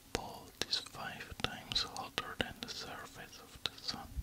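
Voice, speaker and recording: A man's very slow whisper. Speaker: relaxation video host. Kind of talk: soft-spoken fact reading. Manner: close whisper into left ear mic. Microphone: studio mic.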